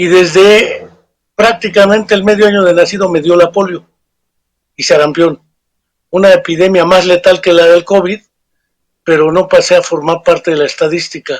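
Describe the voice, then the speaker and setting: With long, frequent pauses, a man speaks at a moderate pace in a high pitch with fairly even intonation. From Mexico. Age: 60s. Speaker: psychologist and author. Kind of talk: interview. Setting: remote interview.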